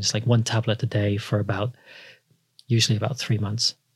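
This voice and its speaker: Somewhat breathy and at a fairly quick pace, a man with a South Wales accent speaks at a medium pitch in a monotone, flat intonation, on a very clean recording with a silent background. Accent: South Welsh (Cardiff). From Wales, Cardiff. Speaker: podiatrist. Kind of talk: interview, casual explanatory chat.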